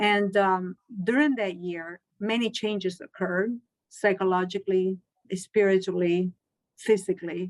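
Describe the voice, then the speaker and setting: A woman with a Spanish accent and a medium pitch speaks at a fairly slow pace with fairly even intonation in a dry, close sound with no echo. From Chile. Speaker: Spanish teacher. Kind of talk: interview. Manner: halting.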